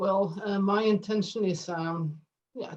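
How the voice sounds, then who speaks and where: A woman speaks with a Norwegian accent. Her pitch is medium and her pace fairly slow. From Norway, Drammen. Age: 50s. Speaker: astrophysicist and author. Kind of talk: casual chat. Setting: video call. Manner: halting.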